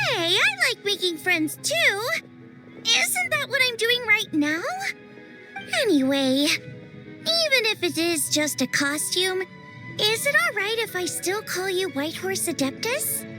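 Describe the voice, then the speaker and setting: With clear music in the background, a woman performs a cartoonish character voice at an extremely high pitch and a fairly slow pace. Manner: upbeat, friendly.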